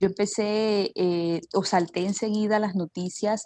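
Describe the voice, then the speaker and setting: A woman speaks with a dark, mellow tone and monotone, flat intonation. The sound is dry and close with no echo, on a very clean recording with a silent background. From Colombian Caribbean coast, Barranquilla. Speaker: journalist. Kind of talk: interview. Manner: hesitant, many fillers.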